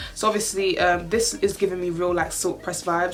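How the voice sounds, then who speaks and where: Amid noticeable background noise and audible room echo, a woman with a medium pitch talks at a fairly quick pace with fairly even intonation. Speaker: beauty and lifestyle youtuber. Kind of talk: casual vlog try-on haul. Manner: fast.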